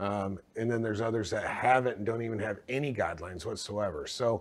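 A man's unremarkable speaking voice at a medium pitch, with ordinary pitch variation and a moderate pace, in a very clean recording with a silent background. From Texas, moved from Michigan as a child. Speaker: healthcare company co-founder. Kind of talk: interview.

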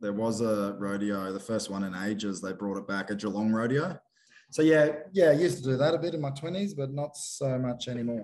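With an Australian accent, a man of medium pitch talks at a fairly quick pace with lively intonation. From Queensland, Australia (Cloncurry). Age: 30s. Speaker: bronc rider and filmmaker. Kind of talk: casual chat. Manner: animated.

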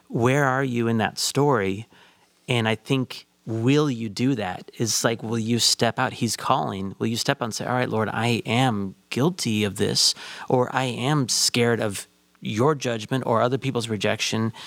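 With an American accent, an ordinary speaking voice talks at a fairly slow pace with ordinary pitch variation. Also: man, medium pitch for a man. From Chicago. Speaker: associate pastor and counselor. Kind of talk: casual discussion.

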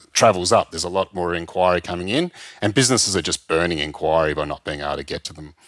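A man speaks very fast with an Australian accent, his pitch very deep and low. The sound is dry and close with no echo, and his pitch varies in an ordinary way. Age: 50s. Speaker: travel industry consultant. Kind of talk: interview. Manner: halting.

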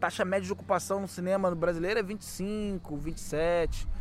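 Speaking at a moderate pace, a man with a high-pitched voice keeps his intonation fairly even. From Rio de Janeiro, Brazil (Guadalupe). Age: 40s. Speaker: community cinema founder. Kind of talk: casual interview.

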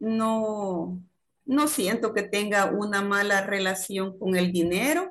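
A woman with a medium-pitched voice speaks at a very slow pace with ordinary pitch variation. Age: 50s. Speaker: laboratory administrator. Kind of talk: interview.

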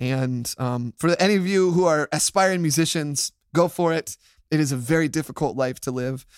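This man has an American accent and a fairly high pitch with ordinary variation. He talks at a moderate pace in a dry, close sound with no echo. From US, Florida (Tampa). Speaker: church worship leader. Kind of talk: casual chat.

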